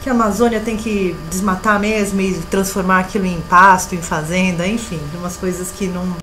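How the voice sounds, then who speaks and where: Over noticeable background noise, a woman speaks at a medium pitch and a moderate pace with fairly even intonation and hardly any pauses. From Brazil. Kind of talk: interview answer.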